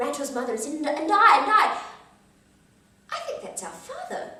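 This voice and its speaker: A woman speaks fairly quickly while noticeable noise runs in the background. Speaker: storyteller. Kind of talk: folk tale storytelling.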